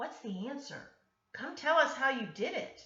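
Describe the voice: A high-pitched voice comes through with a slight echo.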